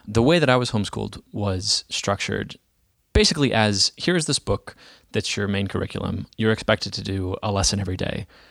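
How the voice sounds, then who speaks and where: An ordinary speaking voice from a man with an American accent, fairly low in pitch, at a fairly quick pace, with ordinary pitch variation and a dry, close sound with no echo. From Dallas, Texas. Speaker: software entrepreneur. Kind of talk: interview.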